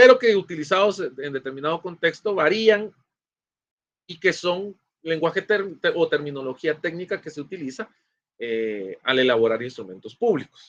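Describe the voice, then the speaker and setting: A man's high-pitched voice with very wide pitch swings and big swings in loudness. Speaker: law professor. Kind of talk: lecture. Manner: fast.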